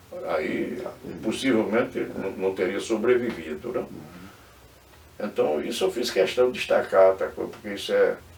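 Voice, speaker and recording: A man at a moderate pace, broken by long, frequent pauses, against noticeable background noise. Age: 80s+. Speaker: former political adviser. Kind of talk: interview. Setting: studio.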